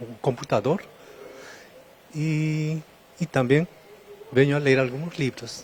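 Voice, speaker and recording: Someone talks at a fairly slow pace with a Spanish accent. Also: man. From Peru. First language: Spanish (speaking Portuguese). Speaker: library patron. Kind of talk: interview. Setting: public library, on location. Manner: halting, with hesitations.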